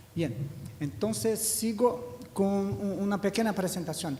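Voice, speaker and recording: A man with a Portuguese accent speaks fairly slowly in a high voice with lively intonation. The room echoes audibly, and there is noticeable background noise. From Brazil. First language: Portuguese (speaking Spanish). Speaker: education statistics official. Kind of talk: conference panel talk. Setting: seminar hall with audience.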